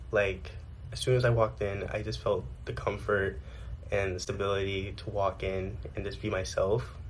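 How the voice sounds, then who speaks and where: Over audible room echo, a man with fairly low pitch and vocal fry talks at a moderate pace with very wide pitch swings. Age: 18. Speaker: former theatre student. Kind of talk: video testimonial. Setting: dorm room.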